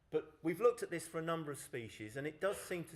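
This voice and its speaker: A man talks in a southern English accent. His intonation is lively. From southern England. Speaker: conference speaker on dragonflies. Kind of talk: conference presentation.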